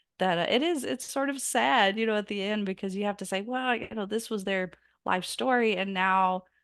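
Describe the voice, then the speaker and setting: A woman speaks in a Southern US accent at a medium pitch and moderate pace. The background is quiet. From US South. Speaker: biographer and author. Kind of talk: interview.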